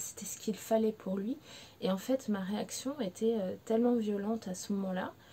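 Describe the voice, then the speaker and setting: A woman with a fairly high pitch and a dark, mellow, somewhat breathy tone speaks at a moderate pace with fairly even intonation. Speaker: pet behaviour consultant. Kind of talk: personal testimony to camera. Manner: emotional, hesitant.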